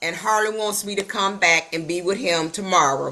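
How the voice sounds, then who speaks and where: The voice is an unremarkable speaking voice. It moves at a moderate pace with ordinary pitch variation. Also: woman. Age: 60s. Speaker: network marketing coach. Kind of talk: casual chat. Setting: video call.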